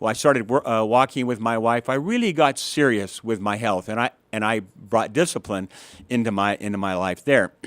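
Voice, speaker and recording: Medium in pitch with ordinary variation, a man talks at a fairly quick pace in a dry, close sound with no echo, on a very clean recording with a silent background. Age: 60s. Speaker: guest sharing personal health story. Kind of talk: testimony. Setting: studio. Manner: halting, with frequent repetitions.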